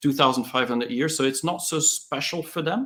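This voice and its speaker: Speaking with a non-native accent, a man talks at a fairly quick pace. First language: not English. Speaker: tech entrepreneur and author. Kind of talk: interview. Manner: hesitant, with fillers.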